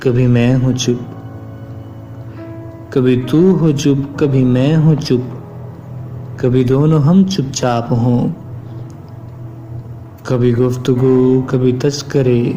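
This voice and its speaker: Music plays behind a man speaking at medium pitch. His loudness stays very even and his intonation fairly even. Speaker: voiceover artist. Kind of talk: poetry reading.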